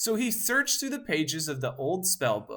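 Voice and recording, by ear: In a natural voice, someone reads the text aloud.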